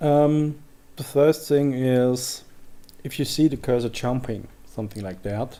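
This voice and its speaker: The man's pitch sits at a medium level with ordinary variation. He has a dark, mellow tone and a fairly slow pace. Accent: German. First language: German. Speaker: software tutorial creator. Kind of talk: tutorial. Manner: halting.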